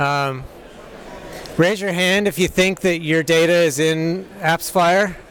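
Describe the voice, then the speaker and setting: Over noticeable background noise, a man with an American accent and a high pitch talks at a very slow pace with fairly even intonation and long, frequent pauses. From United States. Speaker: software developer, conference speaker. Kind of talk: conference talk. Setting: stage with audience. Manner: hesitant, many fillers.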